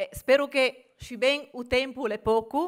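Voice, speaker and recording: With a Genoese accent, a woman speaks fairly slowly in a bright, sharp tone, her pitch varying in an ordinary way against a quiet background. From Genoa, Liguria. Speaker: business association president. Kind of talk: welcome speech at a conference. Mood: warm, playful, smiling. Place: hall. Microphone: podium.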